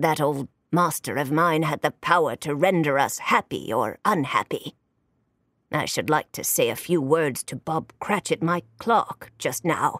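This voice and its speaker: The speaker uses a put-on character voice at a moderate pace. The sound is dry and close with no echo. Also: woman, very deep, low pitch for a woman. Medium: read story.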